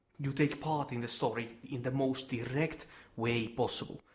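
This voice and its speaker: A man at medium pitch, somewhat breathy, with fairly even intonation. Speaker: gaming video creator. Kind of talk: video essay presentation. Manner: quiet.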